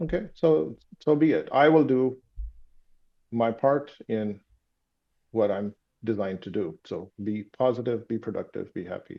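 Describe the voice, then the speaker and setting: A man in a Pakistani accent, medium in pitch, fairly slow, with lively intonation and long, frequent pauses. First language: Urdu. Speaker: sleep doctor and startup founder. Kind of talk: interview conversation. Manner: halting, many fillers.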